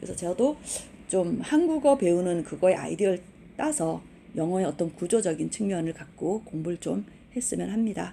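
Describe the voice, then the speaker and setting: Her intonation is lively. The woman's voice has a dark, mellow tone. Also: medium pitch for a woman, moderate pace. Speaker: university English instructor. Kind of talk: online lecture. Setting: recorded online class.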